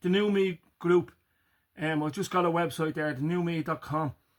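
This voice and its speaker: A man's high-pitched voice at a moderate pace. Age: 50s. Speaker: farmer and health vlogger. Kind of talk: casual motivational vlog.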